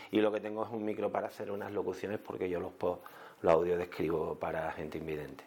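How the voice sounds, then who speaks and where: A man's dark, mellow tone, fairly low pitch and ordinary pitch variation. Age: 50s. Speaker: food blogger and TV sound technician. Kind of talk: interview conversation. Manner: halting, with many repeated words.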